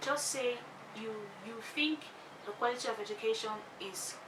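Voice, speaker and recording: A woman with a fairly high voice speaks at a moderate pace with ordinary pitch variation, in a room with audible echo and noticeable background noise. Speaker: lifestyle vlogger. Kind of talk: tutorial.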